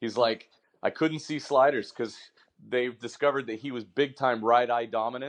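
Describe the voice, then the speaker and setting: In a plain, everyday voice, a man with an American accent talks fairly quickly at a medium pitch with fairly even intonation against a quiet background. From Washington state. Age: 30s. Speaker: baseball training tool founder and coach. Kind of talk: casual chat.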